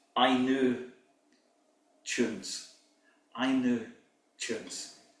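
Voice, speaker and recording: A man at a medium pitch, talking very slowly in a monotone, flat way, with audible room echo. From Scotland. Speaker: pipe band drumming teacher. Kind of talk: workshop lecture.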